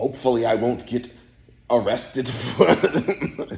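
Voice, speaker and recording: At a very slow pace, a man speaks in a fairly low voice. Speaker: office worker. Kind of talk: casual chat. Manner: loud.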